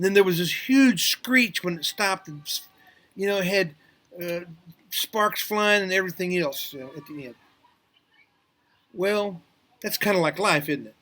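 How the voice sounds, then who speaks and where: A raised, projected voice with an American accent, bright and sharp in tone, at a moderate pace with ordinary pitch variation, big swings in loudness and long, frequent pauses. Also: man, high pitch for a man. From US Midwest, Kansas City. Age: 70s. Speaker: preacher. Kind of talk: informal sermon. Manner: halting, many fillers.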